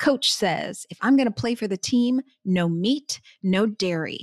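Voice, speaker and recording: In a plain, everyday voice, a woman speaks at a medium pitch with ordinary pitch variation, the sound dry and close with no echo. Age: 50s. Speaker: CEO of a plant-based investment firm. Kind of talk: interview.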